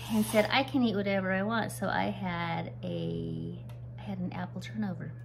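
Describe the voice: A woman speaks at a moderate pace with vocal fry and fairly even intonation. Background noise is clearly heard.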